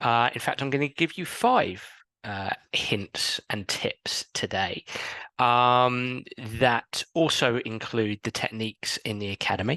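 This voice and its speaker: Over a quiet background, a man with an English accent speaks very slowly at a medium pitch with ordinary pitch variation and a bright, sharp tone, the sound dry and close with no echo. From England. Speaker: sports psychologist. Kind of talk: recorded coaching talk. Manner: hesitant with fillers.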